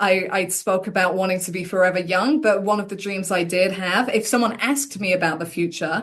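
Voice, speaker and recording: Against a quiet background, a woman with an English accent speaks at a fairly quick pace, her medium pitch showing ordinary variation. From England. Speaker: tennis commentator. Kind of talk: interview.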